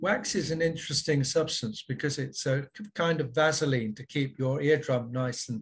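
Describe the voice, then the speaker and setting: At a moderate pace, a man speaks somewhat breathily, with fairly high pitch and ordinary pitch variation. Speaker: ear surgeon; panelist. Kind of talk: panel discussion. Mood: friendly, light humour. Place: home room. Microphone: webcam.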